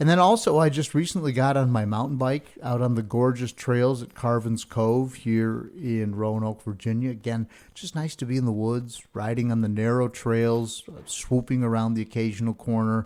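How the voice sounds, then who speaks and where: A man's unremarkable speaking voice at a medium pitch and a moderate pace, fairly even in intonation, with hardly any pauses. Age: 60s. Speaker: podcast host. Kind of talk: casual monologue.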